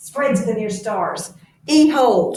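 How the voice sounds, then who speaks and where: A woman's put-on character voice, fairly high in pitch with lively intonation, plus audible echo and hissing. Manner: hissed command.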